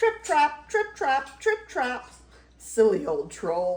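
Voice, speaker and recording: Using a put-on character voice, a woman speaks very slowly in a squeaky, high pitch with very wide pitch swings. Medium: read story.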